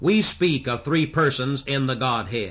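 A man's speech moves at a fairly slow pace. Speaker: pastor. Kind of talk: sermon. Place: church. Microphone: old recording.

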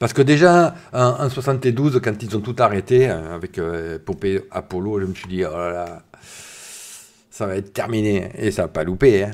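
A man with a fairly low voice talks at a fairly slow pace, his intonation lively and his loudness swinging widely against a quiet background. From southern France, Var. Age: 50s. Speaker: science YouTuber. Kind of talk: live stream chat. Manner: casual, hesitant with many fillers. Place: home room. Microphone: studio mic.

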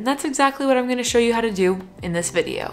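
Lively intonation from a woman. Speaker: vlogging coach. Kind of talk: casual vlog chat. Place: home room.

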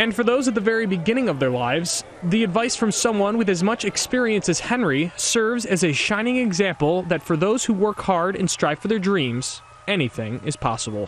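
Amid noticeable background noise, a man talks at a fairly quick pace in a high pitch, with lively intonation and very even loudness. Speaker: TV news reporter. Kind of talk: TV news report.

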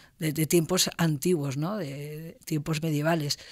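A woman speaks at a moderate pace in a very deep, low voice against a quiet background. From Spain, Castellón (Valencian Community). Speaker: university professor. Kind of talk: interview. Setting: university studio. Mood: calm, explanatory. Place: studio. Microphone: studio mic.

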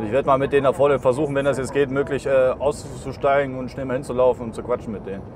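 A man's very fast, flat monotone delivery, dry with no echo, over noticeable background noise. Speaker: streamer. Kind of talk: casual live-stream driving commentary. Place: car.

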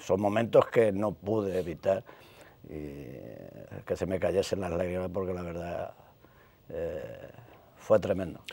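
A man at a very slow pace, the sound dry with no echo. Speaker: retired police inspector and youth football coach; youth football coach. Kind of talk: interview. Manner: halting, many repetitions. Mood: reflective, at times emotional. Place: studio. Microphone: lapel.

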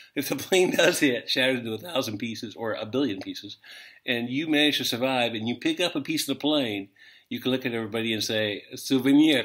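With an American accent, a man talks at a very fast pace and ordinary pitch variation. Behind him the background stays quiet. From United States. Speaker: language teacher. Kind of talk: casual video lesson; casual lesson with jokes. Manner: halting, many fillers. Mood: joking, amused. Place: home room. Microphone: webcam.

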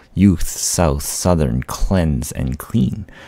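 A soft-spoken man with a very deep, low pitch, a calm tone and a very slow pace, in dry sound with no echo. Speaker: vlogger / gaming YouTuber. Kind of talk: poetry reading, soothing read-out to help sleep. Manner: calm, soft, slow.

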